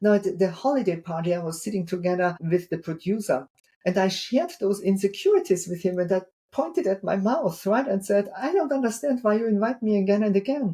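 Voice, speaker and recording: At a fairly quick pace, a woman talks with lively intonation at medium pitch, her tone dark and mellow and somewhat breathy. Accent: strong non-native. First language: not English. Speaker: keynote speaker and author. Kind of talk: interview podcast.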